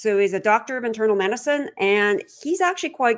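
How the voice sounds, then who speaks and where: A woman talks at a high pitch with lively intonation. The recording is very clean, with a silent background. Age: 60s. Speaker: trail running podcaster. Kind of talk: live stream talk. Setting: live stream. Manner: casual, filler-heavy.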